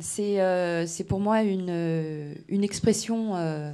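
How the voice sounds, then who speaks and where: In a Breton accent, a woman speaks at a medium pitch with a dark, mellow tone and lively intonation. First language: Breton (speaking French). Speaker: singer-songwriter. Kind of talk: radio interview. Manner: hesitant, many fillers.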